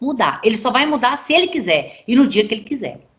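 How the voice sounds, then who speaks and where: A woman speaks with audible room echo. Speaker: pastor teaching a course. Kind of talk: online lecture.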